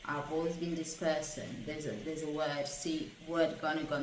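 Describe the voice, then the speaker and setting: A woman's very deep, low-pitched voice at a moderate pace, with audible room echo and noticeable background noise. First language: not English. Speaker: stroke survivor vlogger. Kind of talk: personal testimony monologue. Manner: halting, word-finding pauses and repetitions.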